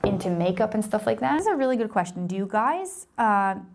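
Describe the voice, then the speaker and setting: A woman speaks at a fairly quick pace with lively intonation. Noticeable background noise sits behind her. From Israel. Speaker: lifestyle vlogger. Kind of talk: casual chat.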